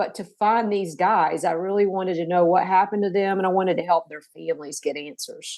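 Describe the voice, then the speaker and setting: Speaking in a Tennessee accent, a woman with a medium-pitched voice is heard over a quiet background. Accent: Southern US (Tennessee). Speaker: author. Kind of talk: interview. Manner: halting.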